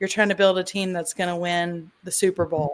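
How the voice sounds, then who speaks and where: A woman with a Southern US accent. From US South, Tennessee. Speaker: podcast host. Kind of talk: casual interview chat.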